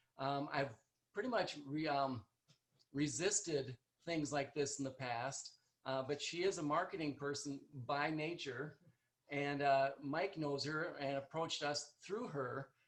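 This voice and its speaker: A man in an Upper Midwest accent, with ordinary pitch variation. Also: fairly high pitch for a man, fairly slow pace. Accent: Upper Midwest American. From North Dakota, US. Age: 60s. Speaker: chiropractor. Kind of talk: presentation. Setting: video call. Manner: soft-spoken. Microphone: quiet, far from computer mic.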